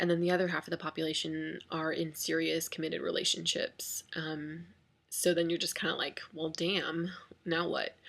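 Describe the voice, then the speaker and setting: A soft-spoken woman talks at a moderate pace. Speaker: vlogger. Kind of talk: casual chat.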